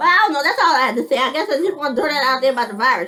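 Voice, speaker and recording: Over music in the background, a woman speaks with lively intonation. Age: 50s. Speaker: military veteran and vlogger. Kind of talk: casual monologue vlog. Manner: halting.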